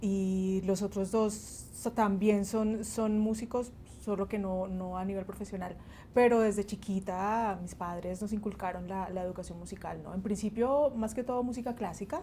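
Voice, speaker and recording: Speaking at a moderate pace, a woman at medium pitch has a dark, mellow, somewhat breathy tone and fairly even intonation. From Colombia, Huila (Pitalito), born in Barranquilla. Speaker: bassist and music teacher. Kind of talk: interview.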